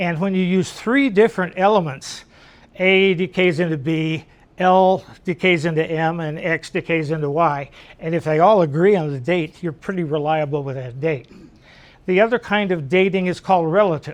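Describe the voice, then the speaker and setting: High pitch from a man, with pitch that shifts in an ordinary way. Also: moderate pace. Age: 70s. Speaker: astronomy club lecturer, geologist. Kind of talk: lecture. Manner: casual, conversational.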